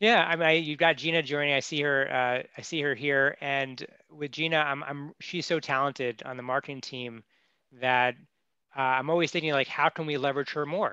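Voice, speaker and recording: A man's fairly high, bright and sharp voice at a moderate pace, fairly even in intonation, dry with no echo, over a quiet background. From New Jersey, born in Queens; New Jersey. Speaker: e-commerce entrepreneur and CEO; interview guest. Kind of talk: interview. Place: office. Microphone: headset.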